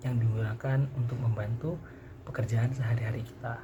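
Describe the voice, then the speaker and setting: A soft-spoken man talks at a fairly quick pace in a medium pitch. His intonation is monotone and flat, with noticeable background noise. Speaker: university student. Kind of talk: vlog.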